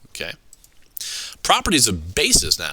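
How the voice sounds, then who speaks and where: A man with a bright, sharp tone and vocal fry talks at a moderate pace. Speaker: high school chemistry teacher. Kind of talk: lecture. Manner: halting.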